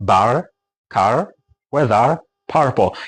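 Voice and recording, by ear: A man uses a raspy, put-on character voice at medium pitch. His intonation is lively.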